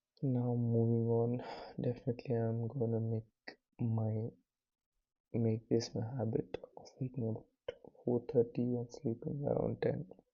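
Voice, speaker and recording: A man at medium pitch, somewhat breathy, with monotone, flat intonation and a fairly slow pace. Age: 20s. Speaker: vlogger, student entrepreneur. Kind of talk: casual vlog monologue. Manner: soft-spoken, quiet so as not to wake others; slow, hesitant with fillers.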